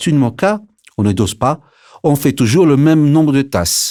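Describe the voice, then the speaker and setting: A man talks at a fairly slow pace. The recording is very clean, the background silent. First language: Italian (speaking French). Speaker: barista. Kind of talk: scripted narration. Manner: lively.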